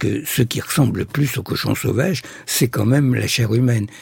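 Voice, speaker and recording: Here is a plain, everyday voice with lively intonation. It moves at a moderate pace. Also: man. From Egypt. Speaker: ethnopsychiatrist. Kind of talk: radio interview.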